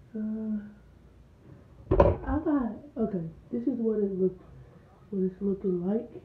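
Against noticeable background noise, a woman with fairly high pitch speaks at a very slow pace, her pitch varying in an ordinary way. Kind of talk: casual vlog, get ready with me. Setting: bathroom at home, filmed on phone. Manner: casual, chatty.

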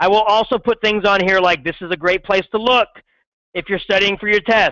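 This man speaks loudly and at a fairly quick pace. His pitch is high. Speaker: middle school science teacher. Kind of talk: classroom lecture. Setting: classroom with students. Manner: animated.

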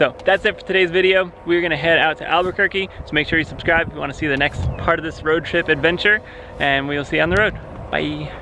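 Over noticeable background noise, a man speaks at a very fast pace with a high pitch. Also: fairly even intonation, dry sound with no echo. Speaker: travel vlogger. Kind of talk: casual vlog chat. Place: open country. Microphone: phone near.

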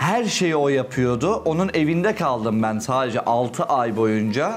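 A man at medium pitch with lively intonation and very even loudness, at a fairly slow pace over light background noise. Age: 20s. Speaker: dating show contestant. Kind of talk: heated debate. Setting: dinner table. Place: home room. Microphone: lapel.

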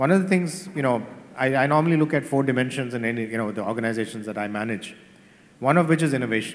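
A man of medium pitch speaks at a very fast pace with lively intonation. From India, Chennai; India. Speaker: corporate executive, panelist; panelist. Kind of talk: panel discussion. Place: stage. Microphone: handheld.

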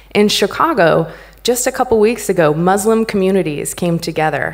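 A woman with a plain, everyday voice speaks at a moderate pace, her pitch varying in an ordinary way. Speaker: conference speaker. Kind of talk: conference talk. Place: stage.

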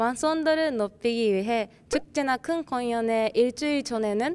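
A high-pitched woman's voice in a Japanese accent, fairly slow, with ordinary pitch variation. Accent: Japanese-accented Korean. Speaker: dance club member. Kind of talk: interview, club introduction. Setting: video shoot with slate. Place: hall. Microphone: handheld.

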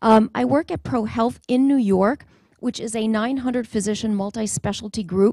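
A woman's somewhat breathy voice, dark and mellow in tone, at a moderate pace with ordinary pitch variation, dry with no echo, over a quiet background. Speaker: presenter. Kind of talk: conference talk. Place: hall. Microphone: handheld.

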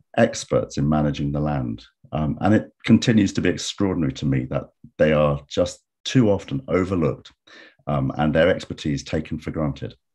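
A man's very deep, low voice with vocal fry and lively intonation, against a quiet background. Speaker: webinar host. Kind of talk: webinar host introduction. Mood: warm, optimistic. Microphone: video call.

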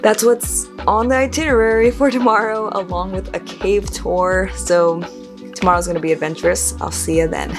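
Clear music runs in the background. Over it, a woman talks at a moderate pace. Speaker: travel vlogger. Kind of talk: casual vlog chat. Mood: cheerful, relaxed. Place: home room. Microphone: phone near.

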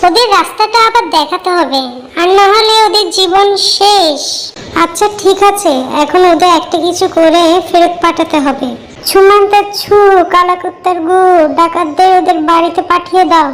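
A female-sounding cartoonish character voice squeaks at an extremely high pitch. It moves at a moderate pace against clear background noise. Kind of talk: comic cartoon voice.

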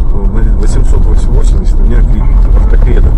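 The man talks over loud background noise. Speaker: car occupant. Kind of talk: angry rant. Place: car. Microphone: camera far.

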